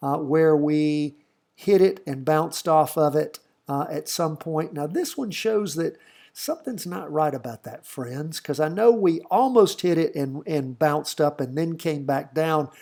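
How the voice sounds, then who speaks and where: In a very clean recording with a silent background, a man with a slight Southern US accent speaks in a dark, mellow tone. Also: fairly high pitch for a man, ordinary pitch variation, fairly slow pace. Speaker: stock market educator. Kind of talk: tutorial. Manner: casual.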